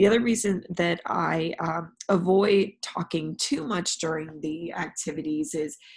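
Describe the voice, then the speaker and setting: The background is quiet. The voice carries vocal fry. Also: woman. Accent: American. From California. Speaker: university professor. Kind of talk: recorded class announcement. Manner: frequent fillers (um).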